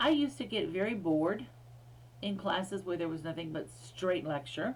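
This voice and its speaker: An American accent with vocal fry, lively intonation and moderate pace, in audible room echo. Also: woman, fairly low pitch for a woman. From US, Air Force bases in several states. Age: 60s. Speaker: history professor. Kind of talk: recorded lecture. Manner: casual, with many fillers.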